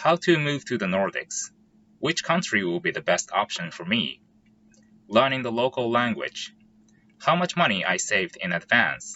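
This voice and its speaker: A man with a Japanese accent, medium pitch and very wide pitch swings, at a moderate pace. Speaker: software engineer and YouTuber. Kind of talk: vlog explainer.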